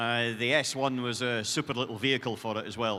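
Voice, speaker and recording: Speaking with a Scottish accent, a man of medium pitch has a bright, sharp tone, fairly even intonation and a fairly quick pace. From Scotland. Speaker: motorsport team executive. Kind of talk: Q&A on stage. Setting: stage with audience.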